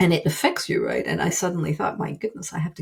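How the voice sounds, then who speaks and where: The recording is very clean, with a silent background. A woman is speaking. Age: 60s. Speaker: writer and business consultant. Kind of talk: interview.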